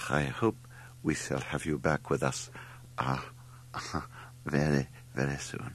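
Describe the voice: A man mumbles in a put-on character voice at an extremely low pitch with vocal fry. He speaks at a slow pace with lively intonation.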